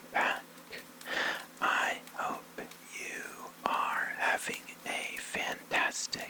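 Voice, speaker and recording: Very slow whispering against noticeable background noise. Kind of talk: ASMR bedtime story reading with commentary. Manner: whispered.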